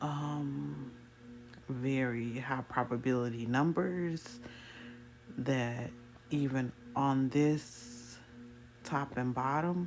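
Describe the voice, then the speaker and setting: Over music in the background, a woman speaks at a very slow pace in a very deep, low voice, with fairly even intonation, very even loudness and long, frequent pauses. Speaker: trader explaining chart setups. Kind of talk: screen-recorded trading tutorial.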